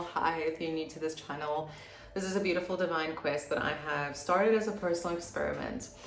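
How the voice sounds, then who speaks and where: A woman talks at a fairly quick pace and a fairly low pitch. Her intonation is fairly even over noticeable background noise. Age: 20s. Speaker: spiritual mentor and energy healer. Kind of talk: casual talk to camera.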